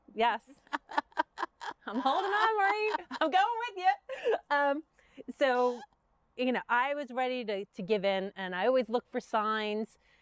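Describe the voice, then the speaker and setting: A woman with a Brooklyn accent, high-pitched, fairly slow and full of very wide pitch swings and long, frequent pauses, in a dry, close sound with no echo. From Brooklyn, New York. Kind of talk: interview conversation. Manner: casual, halting with fillers.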